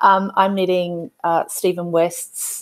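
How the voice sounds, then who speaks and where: Speaking in an Australian accent, a woman keeps a fairly low pitch and a flat, monotone intonation. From Australia, Queensland. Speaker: tabletop game player. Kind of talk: casual chat. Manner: halting, many fillers.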